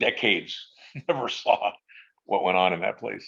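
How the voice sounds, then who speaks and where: A man speaks with vocal fry. His pace is moderate. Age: 60s. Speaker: musician, friend of a late rock singer. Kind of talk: casual chat. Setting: live stream roundtable.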